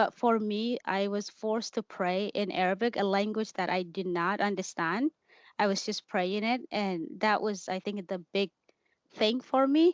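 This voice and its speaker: A woman talks at a fairly slow pace. She has a Somali accent. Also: medium pitch for a woman, ordinary pitch variation. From Kenya, refugee camp, Somali family. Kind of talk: interview testimony. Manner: halting.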